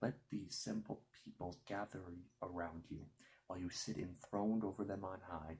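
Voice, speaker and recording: Soft-spoken and whispering, a man speaks at a fairly slow pace in a somewhat breathy way. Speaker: ASMR creator. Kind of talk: ASMR scripture reading. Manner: soft-spoken, whispered.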